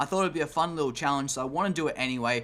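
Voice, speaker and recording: An Australian accent marks a man's fairly high-pitched voice on a very clean recording with a silent background. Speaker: gaming YouTuber. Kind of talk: casual talk to camera.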